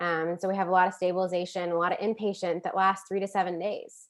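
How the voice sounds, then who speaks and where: Over a quiet background, a woman at a medium pitch speaks at a fairly quick pace with fairly even intonation. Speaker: licensed clinical social worker and addiction counselor. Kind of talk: webinar presentation. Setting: video call. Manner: fast.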